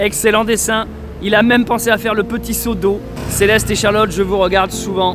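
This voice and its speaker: Amid noticeable background noise and audible room echo, a man speaks in a monotone, flat intonation at a high pitch. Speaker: travel vlogger. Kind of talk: vlog narration.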